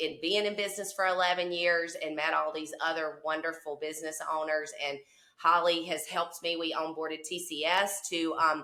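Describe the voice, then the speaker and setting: A woman with a Southern US accent speaks at a moderate pace in a bright, sharp tone with a fairly low pitch. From southwest Mississippi. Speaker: cleaning business owner. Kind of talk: casual interview chat.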